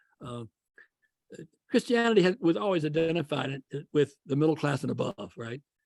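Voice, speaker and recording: In a dry, close sound with no echo, a man talks at a fairly quick pace and fairly high pitch with lively intonation, big swings in loudness, and long, frequent pauses. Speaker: professor. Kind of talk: lecture. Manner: fast.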